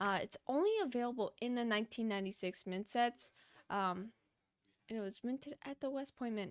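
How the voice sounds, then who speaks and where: The voice moves at a fairly quick pace with ordinary pitch variation, recorded dry and close with no echo. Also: woman, fairly high pitch for a woman. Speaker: coin auction livestream host. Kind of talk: live auction selling.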